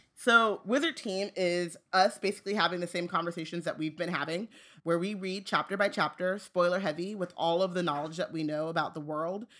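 A woman with an American accent speaks at a fairly quick pace with hardly any pauses, her pitch fairly low and its variation ordinary, in a plain, everyday voice. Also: very clean recording, silent background. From Southern California.

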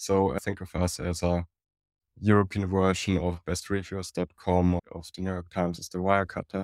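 A man with a very deep, low pitch speaks at a moderate pace in a monotone, flat intonation. The recording is very clean with a silent background and a dry, close sound with no echo. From Germany, Munich. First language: German. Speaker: media company executive. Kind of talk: interview.

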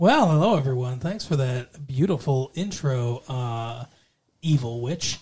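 In a playful tone, a man speaks at a fairly slow pace with a medium pitch, ordinary pitch variation and a somewhat breathy sound. The recording is very clean, with a silent background. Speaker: podcast host. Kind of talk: casual banter chat. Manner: joking, playful.

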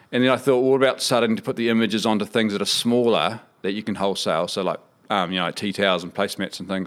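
Very fast male speech with a New Zealand accent at a fairly low pitch, on a very clean recording with a silent background. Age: 40s. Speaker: business founder. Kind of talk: interview.

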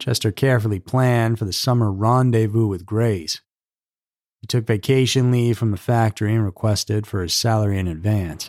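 On a very clean recording with a silent background, a man with a fairly low pitch speaks in a dramatic tone with fairly even intonation. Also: fairly quick pace. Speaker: podcast host. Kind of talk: true-crime narration, scripted storytelling. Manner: measured, dramatic storyteller delivery.

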